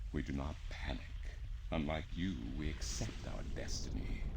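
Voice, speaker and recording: A man in a put-on character voice at a moderate pace, over loud background noise. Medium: game stream. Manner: solemn, mournful, speaks as "we".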